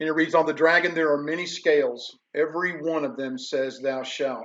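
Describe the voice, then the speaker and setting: A man with a Tennessee accent, ordinary pitch variation, and a moderate pace. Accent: Southern American (Tennessee). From US South, Memphis, Tennessee. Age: 60s. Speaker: professor. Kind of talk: lecture. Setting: online livestream. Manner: conversational, unscripted.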